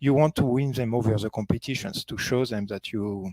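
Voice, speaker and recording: A man's medium-pitched voice with a dark, mellow tone and a slight French accent, fairly quick, with ordinary pitch variation and a dry, close sound with no echo. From France, Paris. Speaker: company founder and conference speaker. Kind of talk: conference presentation.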